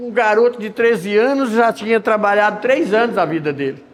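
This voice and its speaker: Speech at a moderate pace comes through noticeable background noise. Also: man. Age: 60s. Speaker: preacher. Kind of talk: sermon.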